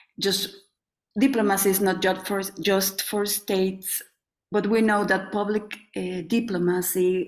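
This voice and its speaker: With a Mexican accent, a woman speaks at medium pitch and a fairly slow pace in a monotone, flat intonation. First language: Spanish. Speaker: sociologist, NGO president. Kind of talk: panel presentation. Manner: halting.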